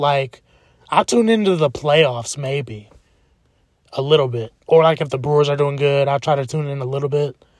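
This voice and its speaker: Speaking at a moderate pace, a man with a fairly high pitch sounds animated and somewhat breathy. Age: 20s. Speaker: podcaster. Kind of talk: casual monologue.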